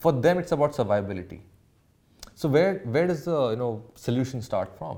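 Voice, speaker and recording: A dark, mellow tone at a fairly quick pace, with very wide pitch swings. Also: man, medium pitch for a man. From India. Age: 30s. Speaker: startup founder. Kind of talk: casual interview.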